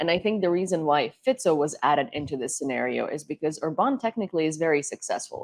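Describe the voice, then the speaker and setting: Speaking very fast with a Ukrainian accent, a woman uses lively intonation at a very deep, low pitch, recorded with a dry, close sound and no echo. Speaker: political talk show host. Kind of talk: panel discussion.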